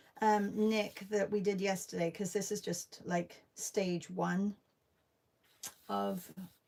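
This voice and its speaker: A woman speaks at a very slow pace with long, frequent pauses, her medium pitch held to fairly even intonation. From UK. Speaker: artist. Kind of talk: live stream art session chat. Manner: casual, hesitant with fillers.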